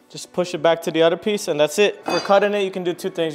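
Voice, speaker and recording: Faint music plays behind a man whose high pitch holds a fairly even intonation. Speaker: DIY home renovator. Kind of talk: DIY tutorial voiceover. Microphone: webcam.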